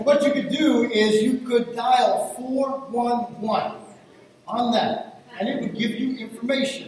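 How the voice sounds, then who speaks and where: Over noticeable background noise and audible room echo, a man with an extremely high pitch speaks at a very slow pace with fairly even intonation. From Rhode Island. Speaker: guest pastor. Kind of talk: sermon. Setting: church stage with congregation.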